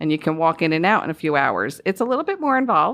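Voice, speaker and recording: A woman with a Northeastern US accent and a fairly low pitch speaks at a fairly quick pace with ordinary pitch variation. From US Northeast. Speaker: home loan specialist. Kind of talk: podcast interview.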